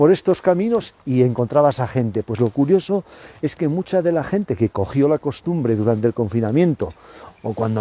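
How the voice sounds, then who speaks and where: At a moderate pace, a man speaks with medium pitch and lively intonation. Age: 60s. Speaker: biology professor. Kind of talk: interview. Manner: hesitant, with many repetitions.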